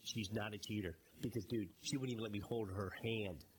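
Somewhat breathy and fairly low in pitch, a man talks at a moderate pace with ordinary pitch variation. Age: 50s. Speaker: podcast co-host. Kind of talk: casual chat. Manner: animated.

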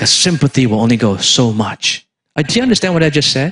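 Somewhat breathy and fairly high-pitched, a man speaks with very wide pitch swings. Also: dry, close sound with no echo. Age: 50s. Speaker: pastor. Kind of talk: sermon. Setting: outdoor church service in a park. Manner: animated.

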